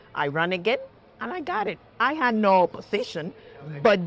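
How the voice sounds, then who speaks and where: Moderate-paced speech from a woman at medium pitch, in a strong Puerto Rican accent. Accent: heavy Puerto Rican Spanish. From Puerto Rico, small town near Ponce. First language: Spanish. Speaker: judge. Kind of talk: interview. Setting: trading floor studio. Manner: earnest, emphatic.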